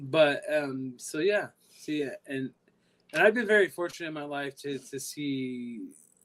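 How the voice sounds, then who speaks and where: With a slight Californian accent, a man speaks at a fairly slow pace in a fairly high pitch, with ordinary pitch variation and big swings in loudness. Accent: slight California. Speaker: security guard. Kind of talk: casual chat.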